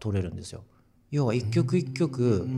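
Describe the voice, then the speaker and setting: A man speaks at a moderate pace in a dark, mellow, somewhat breathy tone. The recording is very clean, with a silent background. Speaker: musician. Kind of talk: casual chat.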